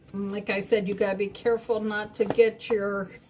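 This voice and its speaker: A fairly slow woman's voice, fairly high in pitch, with noticeable background noise. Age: 60s. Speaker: crafter streaming live. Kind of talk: live stream craft demo chat. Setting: live stream. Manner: casual, many fillers.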